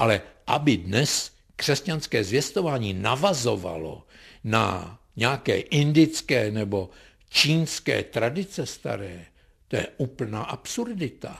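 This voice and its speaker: Vocal fry runs through this man's very slow speech. His pitch swings very widely. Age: 70s. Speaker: philosophy professor. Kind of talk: radio interview.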